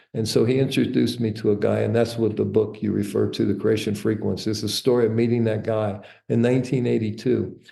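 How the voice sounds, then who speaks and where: A man talks very fast with hardly any pauses. There is audible echo from the room. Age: 60s. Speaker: entrepreneur and author. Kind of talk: interview, personal life story. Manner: casual, with fillers and false starts.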